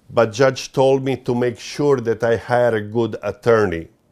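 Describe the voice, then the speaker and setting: Moderate pace and fairly even intonation in a strong Croatian accent. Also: man. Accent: thick Croatian. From Croatia, Dalmatian coast. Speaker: interviewee describing legal dispute. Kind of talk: interview testimony. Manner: halting, many fillers.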